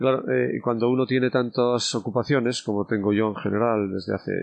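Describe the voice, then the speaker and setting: Over a quiet background comes a plain, everyday voice with ordinary pitch variation. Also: man. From Spain, León province village. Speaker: bishop. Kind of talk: casual interview.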